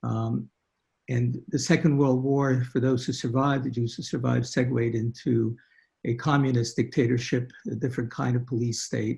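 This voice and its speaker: Somewhat breathy and dark, mellow in tone, a man with a Hungarian accent speaks at a medium pitch and moderate pace with fairly even intonation. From Hungary (Budapest), then Brooklyn from age 7. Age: 70s. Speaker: guest telling family history, physician. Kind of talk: testimony. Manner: halting, with many fillers.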